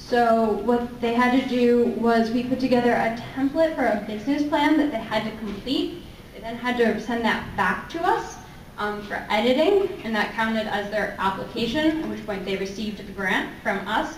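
Against light background noise and audible room echo, a woman with a fairly high pitch talks at a moderate pace with ordinary pitch variation. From US. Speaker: robotics program manager presenting at a conference; presenter. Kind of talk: presentation. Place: meeting room. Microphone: handheld.

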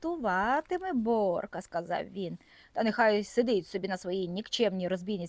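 Someone reads the text aloud in a natural voice.

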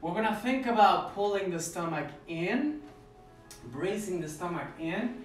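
Faint music plays in the background as a man speaks with audible room echo. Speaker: ballet instructor. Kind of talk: tutorial. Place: home room. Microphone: camera far.

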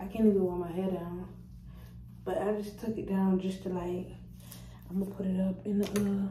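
A woman speaks at a moderate pace with monotone, flat intonation. Audible room echo and light background noise are present. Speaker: vlogger. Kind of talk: casual vlog chat. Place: bathroom. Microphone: phone near.

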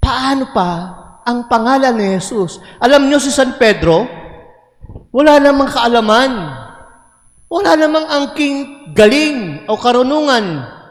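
A man speaks at a fairly slow pace with an extremely high pitch and long, frequent pauses. His tone is warm and animated, and his intonation is lively. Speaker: priest. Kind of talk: homily in a Mass. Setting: church with congregation. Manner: animated, conversational; warm, call-and-response with congregation.

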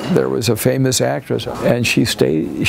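A man's very deep, low pitch at a moderate pace, with light background noise. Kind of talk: interview answer. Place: cafe.

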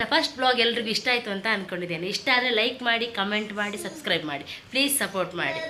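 Noticeable background noise sits behind a woman whose fairly high voice carries lively intonation. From India, Kundapura, coastal Karnataka. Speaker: vlogger. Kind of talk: casual vlog narration. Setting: outdoors at a busy weekly market.

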